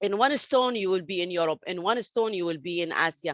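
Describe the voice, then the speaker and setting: A woman is speaking. She has an Arabic accent. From Saudi Arabia, Palestinian family. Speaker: interviewee, refugee story. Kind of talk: interview testimony. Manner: halting, many fillers and restarts.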